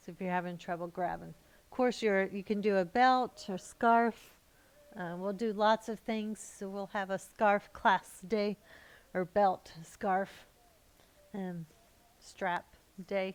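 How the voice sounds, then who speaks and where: The speech moves at a very slow pace with long, frequent pauses and fairly even intonation. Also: woman, medium pitch for a woman, big swings in loudness, very clean recording, silent background. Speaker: yoga teacher. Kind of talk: guided relaxation; yoga class instruction. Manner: halting, many fillers; relaxed, slurring enunciation when relaxed.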